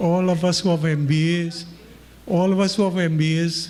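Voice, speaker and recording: A man with a high-pitched voice talks at a moderate pace and with fairly even intonation, over noticeable background noise and audible room echo. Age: 60s. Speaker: community member giving remarks. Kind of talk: informal speech.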